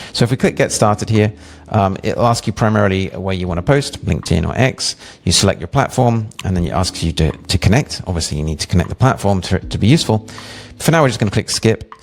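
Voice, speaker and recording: In an English accent, a man speaks at a very fast pace with a fairly low pitch. His intonation is lively, and there is noticeable background noise. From England. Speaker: web developer and product designer. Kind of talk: product demo walkthrough. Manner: casual, with many fillers.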